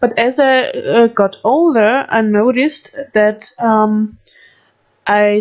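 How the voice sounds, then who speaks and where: A woman's fairly high voice with an Austrian accent and ordinary pitch variation. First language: German. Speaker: gaming youtuber. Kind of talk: casual chat. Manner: halting.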